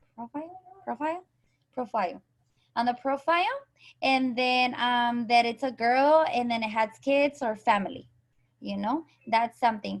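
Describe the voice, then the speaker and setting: Speaking at a moderate pace with a Spanish accent, a high-pitched woman varies her pitch in an ordinary way and leaves long, frequent pauses. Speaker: direct sales coach. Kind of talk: online group training call.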